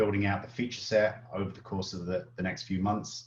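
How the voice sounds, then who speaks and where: A man talks at a very fast pace. His voice is somewhat breathy and fairly low in pitch. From Britain. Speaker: software product lead. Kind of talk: live Q&A webinar.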